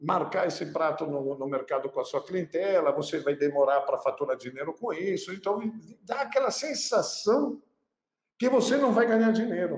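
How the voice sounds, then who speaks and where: A man with a Pernambuco accent, at a moderate pace, with very wide pitch swings. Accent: Pernambuco, Brazil. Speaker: chef, cooking channel host. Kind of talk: casual talk to camera, business tips.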